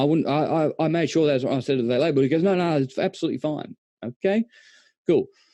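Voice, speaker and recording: In an Australian accent, a man with a fairly high, dark and mellow voice talks fairly quickly with lively intonation, the sound dry and close with no echo. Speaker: presenter on lighting displays. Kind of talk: online presentation.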